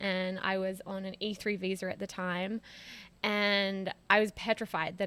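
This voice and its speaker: A woman speaks at a medium pitch with an American accent. Her intonation is monotone and flat, on a very clean recording with a silent background. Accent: Australian with some American twang. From Australia, Sydney. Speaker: former PR professional, podcast guest. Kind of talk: casual interview. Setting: in person, in a home.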